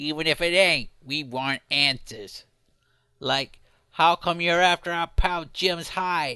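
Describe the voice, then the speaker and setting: A man's put-on character voice, fairly high in pitch and fairly slow, over a quiet background. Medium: read story. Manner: brash, streetwise.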